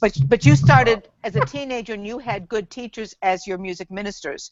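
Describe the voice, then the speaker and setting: A woman with a medium pitch speaks at a fairly quick pace, her pitch swinging very widely and her loudness shifting a lot. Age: 60s. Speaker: church music minister. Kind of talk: casual chat.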